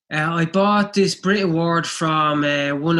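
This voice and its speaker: On a very clean recording with a silent background, a man with fairly high pitch, a bright, sharp tone and fairly even intonation speaks at a moderate pace. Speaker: podcast co-host, memorabilia dealer. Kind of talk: casual podcast chat.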